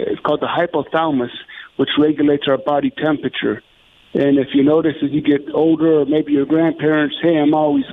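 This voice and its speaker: The man has an ordinary speaking voice. Fairly high in pitch, it shows ordinary pitch variation. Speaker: paramedic and CPR instructor. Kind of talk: interview. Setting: phone call.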